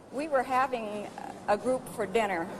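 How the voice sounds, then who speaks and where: A woman speaks with ordinary pitch variation. Noticeable background noise runs underneath. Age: 60s. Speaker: former schoolmate of a film star. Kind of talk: interview.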